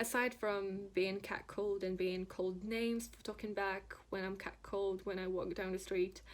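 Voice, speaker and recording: With a Polish accent, a woman speaks in a monotone, flat intonation at medium pitch. Her pace is moderate. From Poland, Szczecin. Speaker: tattoo artist and illustrator. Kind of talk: prepared personal statement.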